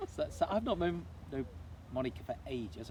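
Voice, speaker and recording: A man speaks in an unremarkable speaking voice, keeping to a moderate pace. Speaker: run club interviewer. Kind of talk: casual interview questions.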